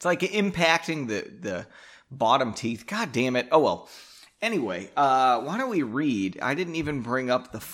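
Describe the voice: With lively intonation, the passage is given a plain reading aloud.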